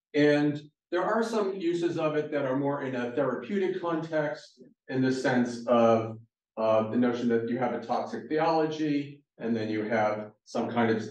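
Audible room echo is heard around the voice. A man talks at a moderate pace. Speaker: guest lecturer. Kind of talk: lecture. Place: hall.

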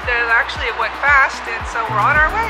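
Music plays behind the speaker. A woman talks at a fairly quick pace. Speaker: travel vlogger. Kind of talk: casual vlog chat. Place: train. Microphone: phone near.

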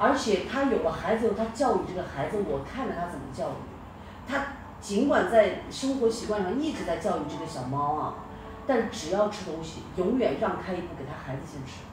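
A woman speaks at a moderate pace and a medium pitch, her voice sweeping through very wide pitch swings and big jumps in loudness over noticeable background noise. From northwest China. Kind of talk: casual chat. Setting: video call.

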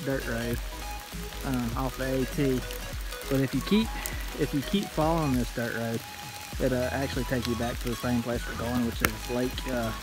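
The man's voice sounds dry with no echo, and clear music plays in the background. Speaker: hiker vlogger. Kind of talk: casual vlog chat. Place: forest. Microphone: phone near.

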